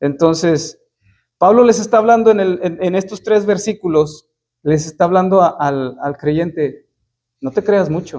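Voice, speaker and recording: This dark, mellow voice proceeds at a fairly slow pace. Its pitch varies in an ordinary way. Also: man, high pitch for a man. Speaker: preacher. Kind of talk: sermon. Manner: halting.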